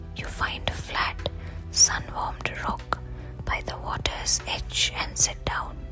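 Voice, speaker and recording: Someone whispers at a very slow pace while music plays in the background. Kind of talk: whispered guided relaxation story, sleep story. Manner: whispered, soft, slow.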